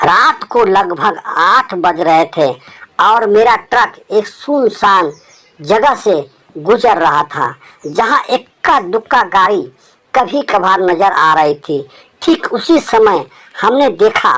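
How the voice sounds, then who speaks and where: A man puts on a character voice pitched high. He talks at a fairly slow pace. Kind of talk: horror narration. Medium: read story. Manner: dramatic, suspenseful storytelling.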